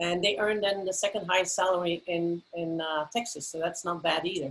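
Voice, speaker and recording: In a Belgian accent, a woman speaks at a fairly quick pace with ordinary pitch variation. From Belgium. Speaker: university president. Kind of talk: panel discussion.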